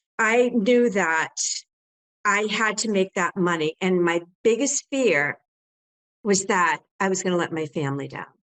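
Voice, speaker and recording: Speaking at a fairly slow pace with long, frequent pauses, a woman uses lively intonation at a medium pitch, recorded in a dry, close sound with no echo. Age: 60s. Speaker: home staging business owner and coach. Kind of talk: interview.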